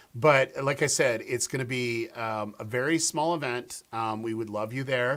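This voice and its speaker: A man speaks in a normal speaking voice at a moderate pace, with hardly any pauses. His pitch varies in an ordinary way, and the recording is very clean with a silent background. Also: medium pitch for a man. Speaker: conference organizer. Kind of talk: casual chat.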